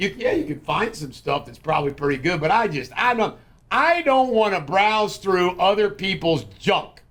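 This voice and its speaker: Loud and high-pitched, a man with an American accent speaks at a moderate pace in very wide pitch swings. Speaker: podcast host. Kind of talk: casual political chat.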